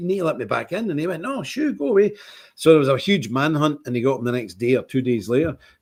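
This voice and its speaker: Delivered at a very fast pace, this voice has a strong Scottish accent and lively intonation. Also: man, very clean recording, silent background. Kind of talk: casual livestream chat. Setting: live stream broadcast. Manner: animated.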